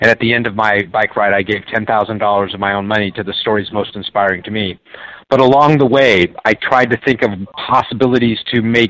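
In a dry, close sound with no echo, a man with an American accent speaks at a moderate pace in an enthusiastic tone. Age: 50s. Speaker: motivational author and speaker. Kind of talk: live radio interview. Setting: remote call.

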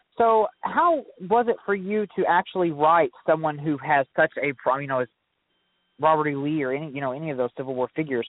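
A man with an American accent talks fairly quickly in an unremarkable speaking voice. His pitch is fairly high, with ordinary variation. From US Midwest, Southeast Missouri. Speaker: guest host and book reviewer. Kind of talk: author interview.

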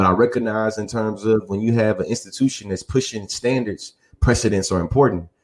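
Talking very fast, a man with an American accent keeps a fairly low pitch and fairly even intonation. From Texas, Bryan College Station. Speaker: podcast co-host. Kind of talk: casual chat.

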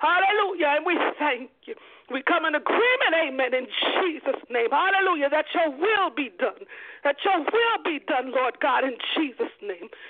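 A woman at an extremely high pitch with lively intonation and a moderate pace, over noticeable background noise. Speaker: radio host and prayer leader. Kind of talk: fervent prayer and welcome on a radio show. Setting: radio broadcast. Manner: fervent, impassioned, exclamatory.

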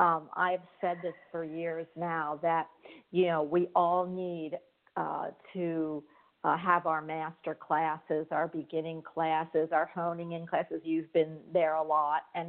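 Speaking at a very slow pace, a woman uses a fairly low pitch and a monotone, flat intonation. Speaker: internet radio show host.

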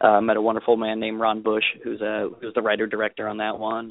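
A man speaks with an American accent in a fairly low voice. His intonation is flat and monotone. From US Southwest (Las Vegas). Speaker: actor. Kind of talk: casual interview chat.

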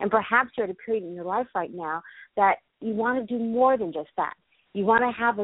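With ordinary pitch variation, a woman speaks in a plain, everyday voice. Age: 50s. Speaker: radio host. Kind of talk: interview. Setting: internet radio.

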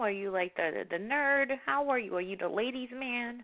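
This woman talks at a moderate pace. Her pitch sits fairly high. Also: ordinary pitch variation.

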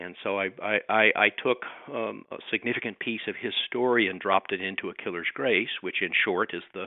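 Fairly quick speech from a man, pitch varying in an ordinary way. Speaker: author and social worker. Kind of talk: casual interview. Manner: conversational, somewhat hesitant with fillers.

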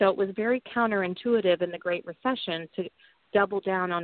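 A woman with an American accent talks at a fairly quick pace in a plain, everyday voice. Her intonation stays fairly even. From US Midwest, southwest Missouri (Ozarks, Joplin). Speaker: political candidate and business executive. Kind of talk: interview.

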